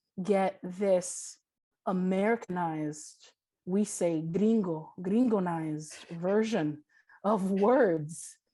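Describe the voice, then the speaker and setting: Speaking very slowly with long, frequent pauses, a woman with a Spanish accent has a medium pitch, ordinary pitch variation, and a dark, mellow tone. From New York City, Washington Heights, Dominican family. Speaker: audio describer. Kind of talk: panel discussion.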